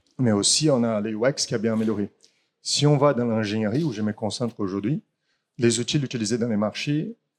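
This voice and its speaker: A man with a Brazilian accent and a medium pitch talks fairly quickly with ordinary pitch variation, in a very clean, dry, close recording with a silent background and no echo. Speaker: startup founder. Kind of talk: startup pitch. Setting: in person, standing. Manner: halting.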